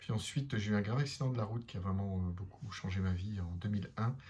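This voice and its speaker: Fairly low-pitched and somewhat breathy, a man talks at a fairly quick pace. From northern France (Lille). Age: 50s. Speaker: couples therapist. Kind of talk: self-introduction monologue. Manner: halting, many hesitations.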